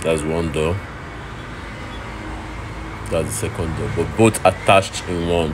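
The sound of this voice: With clear background noise behind him, a man speaks slowly at a low pitch and with fairly even intonation.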